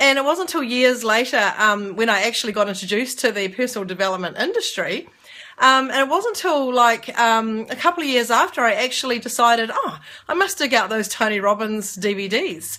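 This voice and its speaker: A woman with a New Zealand accent, fairly high pitch, bright, sharp tone, lively intonation and a fairly quick pace. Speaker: network marketer. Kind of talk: casual talk to camera. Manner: fast.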